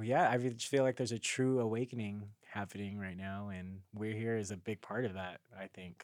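A man with an American accent uses a normal speaking voice, fairly low in pitch, talking at a fairly quick pace with hardly any pauses and fairly even intonation. The sound is dry and close with no echo, and the recording is very clean with a silent background. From Carson, California, US. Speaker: dancer and singer. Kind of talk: casual chat.

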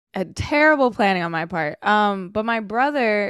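With a Californian accent, a woman talks at a moderate pace on a very clean recording with a silent background. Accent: Californian American. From Sacramento, California. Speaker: sports host and writer. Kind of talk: casual chat.

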